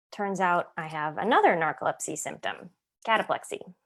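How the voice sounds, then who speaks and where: A woman with a General American accent uses a plain, everyday voice at medium pitch with ordinary pitch variation. She talks at a moderate pace on a very clean recording with a silent background. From Ohio, US Midwest. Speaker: actor and writer. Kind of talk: essay reading.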